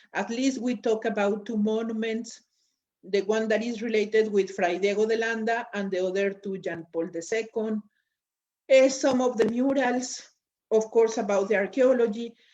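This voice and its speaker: Speaking in a Spanish accent at a moderate pace, a woman has a dark, mellow tone, fairly high pitch and fairly even intonation. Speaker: lecturer. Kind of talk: lecture. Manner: halting, with fillers.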